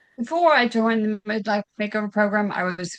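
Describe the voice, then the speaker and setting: A woman talks at a moderate pace in a Southern US accent. Her intonation stays monotone and flat. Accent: Southern US (Georgia). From US South, Augusta, Georgia. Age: 60s. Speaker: weight loss client. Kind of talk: interview testimony. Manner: halting, many fillers.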